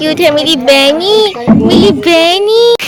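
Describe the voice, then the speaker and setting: Music sounds in the background. Over it, a woman's pitch swings very widely. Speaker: vlogger. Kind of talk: casual vlog narration.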